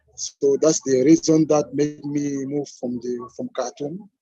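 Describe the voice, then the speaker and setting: Speaking at a fairly slow pace, a man has a fairly high pitch and a dark, mellow tone with fairly even intonation. The sound is dry and close, without echo. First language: French. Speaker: cultural games promoter. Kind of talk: panel discussion. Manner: halting.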